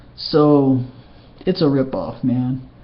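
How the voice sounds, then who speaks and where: A man is speaking, with audible room echo around his voice. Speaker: video blogger. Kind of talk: casual personal vlog update. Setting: webcam recording at home. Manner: halting, many fillers and restarts.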